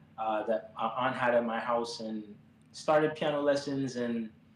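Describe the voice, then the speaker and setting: A man with an American accent, fairly slow, with ordinary pitch variation, against noticeable background noise. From Miami, Florida (Jamaican family). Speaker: pianist, musician. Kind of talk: interview conversation. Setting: live stream.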